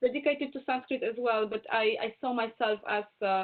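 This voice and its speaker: A woman speaks in a Polish accent with a high pitch. Her intonation is fairly even. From Poland. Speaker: Indologist and Hindi scholar. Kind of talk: webinar Q&A talk. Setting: video call. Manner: halting.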